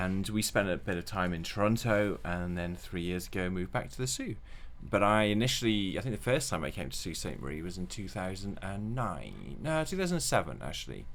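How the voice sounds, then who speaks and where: A man with a Welsh accent, fairly low pitch and a fairly quick pace, hardly any pauses, audible room echo. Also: lively intonation. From Wales. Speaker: children's book author. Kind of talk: interview.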